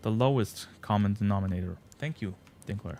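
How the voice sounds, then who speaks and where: A man talks with ordinary pitch variation at a moderate pace. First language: German. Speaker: gaming streamer. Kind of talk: live stream chat. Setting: live stream. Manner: halting.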